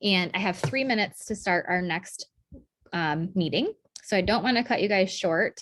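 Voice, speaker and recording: Speaking at a fairly slow pace, a woman with a normal speaking voice keeps a medium pitch and ordinary pitch variation. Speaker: direct sales team leader. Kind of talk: training session.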